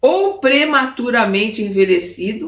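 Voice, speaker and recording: A woman with vocal fry talks at a fairly slow pace. Her fairly high voice makes very wide pitch swings. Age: 70s. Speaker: spiritist study teacher. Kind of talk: lecture. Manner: halting with repetitions.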